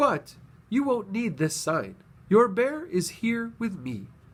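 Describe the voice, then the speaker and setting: A man puts on a character voice, pitched high and swinging very widely up and down, at a fairly slow pace. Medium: read story.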